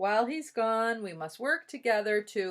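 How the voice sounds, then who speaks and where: The speaker uses a put-on character voice with lively intonation. The recording is very clean, with a silent background. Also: woman. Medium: read story.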